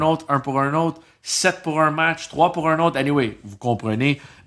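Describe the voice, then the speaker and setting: This man has a fairly high pitch and a bright, sharp tone, talking at a fairly slow pace. The recording is very clean, with a silent background. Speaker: podcast co-host. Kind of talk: casual chat.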